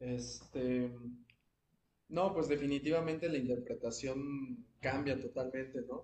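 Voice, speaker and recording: A man speaks at a very slow pace, his fairly high pitch carried on fairly even intonation. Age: 20s. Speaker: jazz saxophonist. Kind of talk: interview. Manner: halting.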